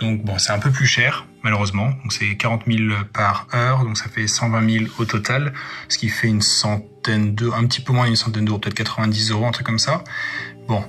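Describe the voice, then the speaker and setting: The man's delivery is fairly quick. His tone stays monotone and flat. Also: medium pitch for a man. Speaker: YouTuber. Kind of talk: vlog.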